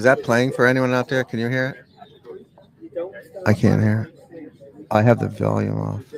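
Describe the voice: The voice is croaky, with vocal fry and flat, monotone intonation. It moves at a moderate pace. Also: man, medium pitch for a man.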